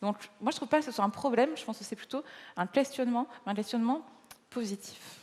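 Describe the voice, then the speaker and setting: A woman talks at a very fast pace in a high pitch, with ordinary pitch variation, big swings in loudness, and long, frequent pauses. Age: 30s. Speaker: gynecologist and author. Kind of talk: stage interview. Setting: stage with audience. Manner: halting, many repetitions.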